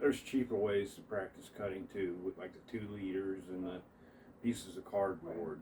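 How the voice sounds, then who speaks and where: With an Appalachian accent, a man speaks in a relaxed tone at a moderate pace, his pitch varying in an ordinary way. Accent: Appalachian, noticeable. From Appalachia, US. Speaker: martial arts practitioner. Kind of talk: casual tutorial demonstration. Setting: at home indoors. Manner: relaxed, halting with repetitions.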